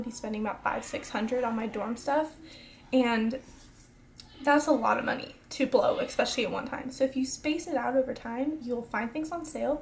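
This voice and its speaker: Through noticeable background noise, a woman speaks in a high pitch with ordinary pitch variation. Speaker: college student vlogger. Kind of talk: casual advice vlog. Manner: fast; energetic.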